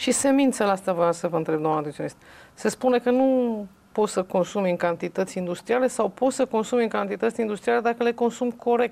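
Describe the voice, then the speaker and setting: A woman's dark, mellow voice, fairly high in pitch, with lively intonation at a very fast pace. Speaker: talk show host. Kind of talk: casual chat. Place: home room.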